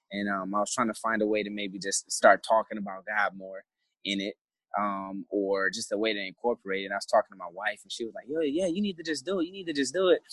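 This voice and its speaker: A man with an American accent talks at a very fast pace in a fairly low pitch, his intonation lively and his loudness swinging widely, recorded dry and close with no echo. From Flint, Michigan. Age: 20s. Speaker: navy sailor and life coach. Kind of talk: interview conversation.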